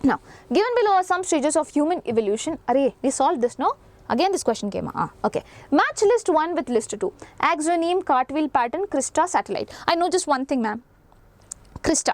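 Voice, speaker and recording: With very wide pitch swings, a woman speaks at a high pitch in a dry, close sound with no echo. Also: fairly quick pace. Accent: Indian. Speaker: teacher. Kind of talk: lecture. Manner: fast.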